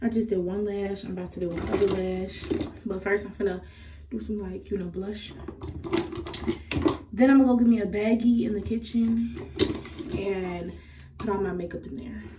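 Over noticeable background noise, a woman talks at a moderate pace with big swings in loudness and long, frequent pauses. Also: ordinary pitch variation. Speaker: vlogger. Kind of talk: casual vlog chat.

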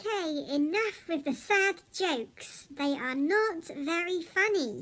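This is a cartoonish character voice with an extremely high pitch. It moves at a fairly slow pace. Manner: irritated, scolding.

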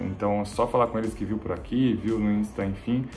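Over faint music in the background, a man speaks at a moderate pace. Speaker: travel vlogger. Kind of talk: casual vlog chat. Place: home room.

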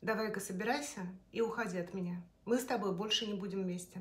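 A somewhat breathy woman's voice at a moderate pace, with fairly even intonation. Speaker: storyteller. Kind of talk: personal story told to camera. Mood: emotional, confessional retelling. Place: kitchen. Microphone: phone near.

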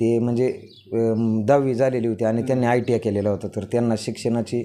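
A man's medium-pitched voice, dark and mellow in tone, monotone and flat, against a quiet background. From rural Pune district, Maharashtra (Daund taluka). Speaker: newly selected police sub-inspector. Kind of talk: interview.

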